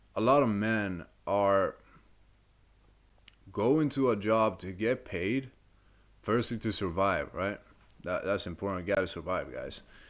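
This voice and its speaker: A man with a non-native accent at a fairly slow pace, with long, frequent pauses and ordinary pitch variation, on a very clean recording with a silent background. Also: fairly low pitch for a man. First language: not English. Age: 20s. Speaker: self-improvement coach. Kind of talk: motivational talk to camera. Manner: casual, conversational.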